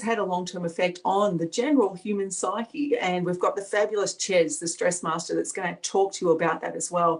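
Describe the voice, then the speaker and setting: At a moderate pace, a woman speaks in a medium pitch with an Australian accent and ordinary pitch variation. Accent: Australian, natural. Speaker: energy healing facilitator. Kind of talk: online event presentation. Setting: video call.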